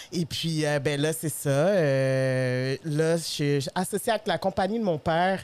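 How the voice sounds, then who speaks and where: A woman speaks with a very deep, low pitch and ordinary pitch variation. Noticeable background noise runs under her voice. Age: 30s. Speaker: podcast host. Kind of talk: casual chat.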